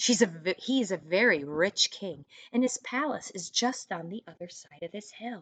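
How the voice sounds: The text is delivered in a natural reading voice. That voice holds from start to finish.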